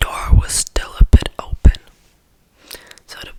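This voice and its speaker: The voice is a whisper at a very slow pace. Noticeable noise fills the background. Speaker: ASMR creator. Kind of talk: bedtime story reading. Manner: soft-spoken, whispered. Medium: read story.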